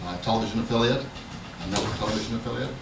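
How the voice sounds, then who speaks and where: A man speaks at a fairly low pitch with fairly even intonation, his voice carrying audible room echo over noticeable background noise. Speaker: nonprofit chief executive, panelist. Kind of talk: panel discussion. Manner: halting.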